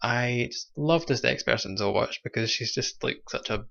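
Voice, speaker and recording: Speaking with a Scottish accent, a man holds a medium pitch, a moderate pace, and fairly even intonation. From Scotland, Kilmarnock. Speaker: drag show host. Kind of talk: online show hosting. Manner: casual, hesitant with fillers.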